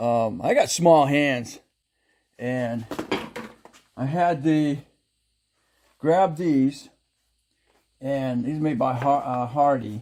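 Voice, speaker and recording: A man's dark, mellow voice at a fairly high pitch, very slow pace, ordinary pitch variation and long, frequent pauses. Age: 60s. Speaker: DIY mechanic YouTuber. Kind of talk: casual tutorial. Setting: home garage. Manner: halting.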